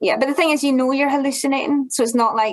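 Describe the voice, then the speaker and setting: This is a woman's voice. She speaks with a Glaswegian accent. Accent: Glaswegian Scottish. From Scotland, Glasgow. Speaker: ultrarunner. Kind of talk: interview.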